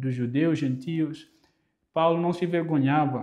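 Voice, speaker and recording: A man speaks with a Mozambican accent. His pitch sits fairly high. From Mozambique. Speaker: preacher. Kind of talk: sermon. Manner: halting, frequent repetitions.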